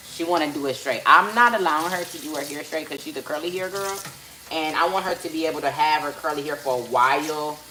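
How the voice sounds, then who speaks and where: A woman talks very fast in a very deep, low pitch with ordinary pitch variation, with audible room echo and noticeable background noise. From Los Angeles, US (born in Belize). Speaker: livestreamer and mother. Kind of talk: casual livestream chat. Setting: home livestream while doing hair.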